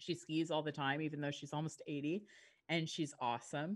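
With a Canadian accent, a woman speaks at a moderate pace in a very deep, low pitch. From Yukon, northern Canada. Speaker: real estate agent and podcaster. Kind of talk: casual interview chat. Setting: remote call.

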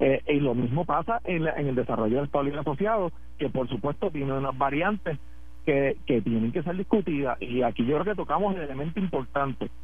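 A man with a fairly high pitch, very fast delivery, lively intonation and audible room echo. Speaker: politician. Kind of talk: radio interview.

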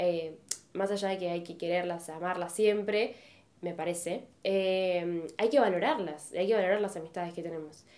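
Audible room echo surrounds a woman whose intonation is fairly even. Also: fairly low pitch for a woman, moderate pace. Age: 20s. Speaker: podcast co-host. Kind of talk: casual chat.

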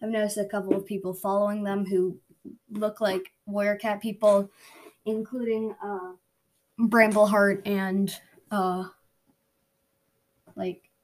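Her pace is fairly slow, with long, frequent pauses. The woman's medium-pitched voice stays monotone and flat. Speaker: podcast host. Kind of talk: casual update to listeners. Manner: flat, not much emotion.

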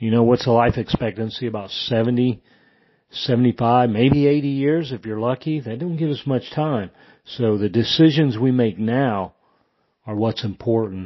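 A plain, everyday voice: a man with an American accent, medium pitch, ordinary pitch variation and a fairly slow pace. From Indiana, US Midwest. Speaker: retired army veteran. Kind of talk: testimony.

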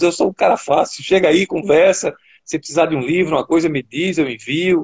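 A man with a plain, everyday voice, fairly high in pitch, at a fairly quick pace. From Brazil, Recife (Pernambuco). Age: 50s. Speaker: guitarist and music teacher. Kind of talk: casual interview.

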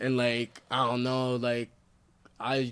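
A man with an American accent, medium pitch and a fairly slow pace on a very clean recording with a silent background. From Michigan (Flint). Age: 20s. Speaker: rapper. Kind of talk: casual chat.

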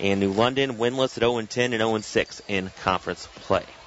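Noticeable background noise sits behind a man speaking at a moderate pace. His pitch is medium and his intonation fairly even. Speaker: radio play-by-play announcer. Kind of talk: live play-by-play basketball commentary, calling each pass and shot as it happens. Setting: courtside or balcony of a gym broadcasting on radio.

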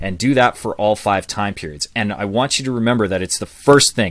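A man talks fairly quickly at a fairly low pitch, in a plain, everyday voice with ordinary pitch variation. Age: 40s. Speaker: public speaking coach and author. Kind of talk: interview.

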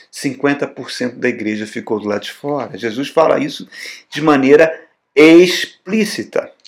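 A fairly high-pitched male voice is captured on a very clean recording, silent behind him. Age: 60s. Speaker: pastor. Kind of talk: sermon. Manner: animated.

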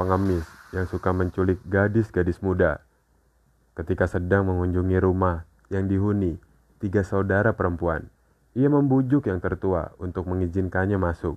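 A man speaks at a moderate pace in a very deep, low voice. The background is quiet. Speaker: podcast host. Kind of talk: scripted narration of horror fairy tales. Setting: podcast recording.

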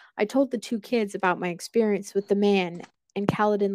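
A woman of medium pitch speaks at a moderate pace with fairly even intonation, in a very clean recording with a silent background and a dry, close sound with no echo. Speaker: podcast host and story narrator. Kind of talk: creepypasta horror narration, first-person story read aloud. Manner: measured, dramatic storytelling pace with suspenseful, ominous delivery.

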